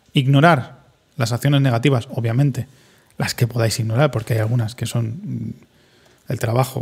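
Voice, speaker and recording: This man speaks at a moderate pace with a medium pitch and fairly even intonation. He has an ordinary speaking voice. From Spain, Madrid. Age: 30s. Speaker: podcaster and streamer. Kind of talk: solo reflective monologue.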